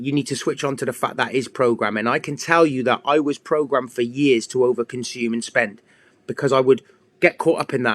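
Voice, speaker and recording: A man speaks with an English accent at a moderate pace and with ordinary pitch variation. The sound is dry and close, with no echo. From England. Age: 40s. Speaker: fitness coach. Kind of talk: casual livestream monologue.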